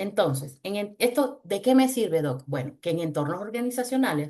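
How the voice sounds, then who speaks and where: Using very wide pitch swings, a woman talks at a moderate pace. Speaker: voice specialist. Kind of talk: webinar talk.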